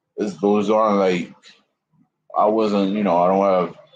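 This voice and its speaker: With a New York accent, a man talks at a fairly quick pace using fairly even intonation. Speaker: YouTuber. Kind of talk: casual livestream chat. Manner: halting.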